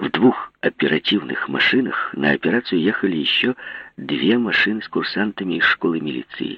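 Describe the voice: The plain reading aloud carries lively intonation.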